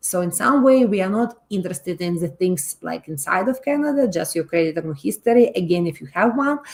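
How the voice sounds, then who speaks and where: Somewhat breathy, a woman with a Russian accent speaks at a fairly quick pace with hardly any pauses and very wide pitch swings. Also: medium pitch for a woman. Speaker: loan company presenter. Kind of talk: webinar presentation. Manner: halting, many fillers.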